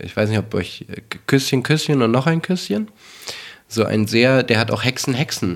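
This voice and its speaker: At a moderate pace, a man with a medium pitch and ordinary pitch variation speaks with long, frequent pauses. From Berlin. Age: 40s. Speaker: dubbing director. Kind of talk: casual chat. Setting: home living room.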